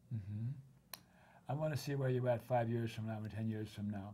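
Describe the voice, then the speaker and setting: A man speaks at a fairly quick pace. His voice is somewhat breathy with a dark, mellow tone. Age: 80s+. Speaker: talk show host. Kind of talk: interview.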